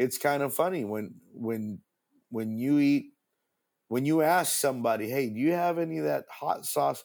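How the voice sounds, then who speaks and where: Here is an unremarkable speaking voice at a moderate pace. The intonation is lively. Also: man. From Argentina (American missionary kid, born in Oregon). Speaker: pastor and radio host. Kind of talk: interview.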